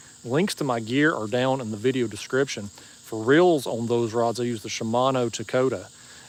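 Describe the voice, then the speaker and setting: Clearly audible noise sits in the background. The man's voice is medium in pitch. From East Tennessee. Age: 40s. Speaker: fishing YouTuber. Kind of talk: live stream chat. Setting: outdoors at a marina.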